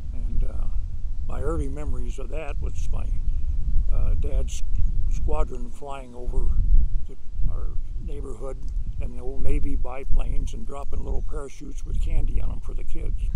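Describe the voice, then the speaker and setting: A man's voice with long, frequent pauses, dry with no echo, over loud background noise. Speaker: oral history interviewee. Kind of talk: oral history interview, reminiscing. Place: garden.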